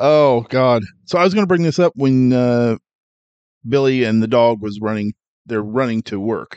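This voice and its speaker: A man at medium pitch and moderate pace, ordinary pitch variation, long and frequent pauses, in a dry, close sound with no echo. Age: 40s. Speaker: podcast co-host and editor. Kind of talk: casual chat.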